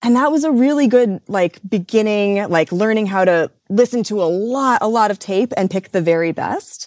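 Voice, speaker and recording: A woman with an American accent speaks in a normal speaking voice at a fairly high pitch and moderate pace with ordinary pitch variation, recorded very cleanly against a silent background with a dry, close sound and no echo. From US Midwest. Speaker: radio and podcast producer. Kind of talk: interview.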